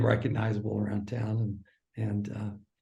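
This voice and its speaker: With a Midwestern US accent, a man speaks at a moderate pace and medium pitch. His tone is dark and mellow, and somewhat breathy. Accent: General American, Midwestern. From US Midwest, suburban Kansas City Missouri. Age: 60s. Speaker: former sports broadcaster. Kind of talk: interview conversation. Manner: halting.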